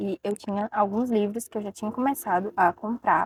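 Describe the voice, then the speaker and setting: A woman speaks in an ordinary speaking voice, fairly high in pitch with ordinary pitch variation, and the sound is dry and close with no echo. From Ceará, Brazil. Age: 20s. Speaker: book content creator. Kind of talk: casual talk to camera.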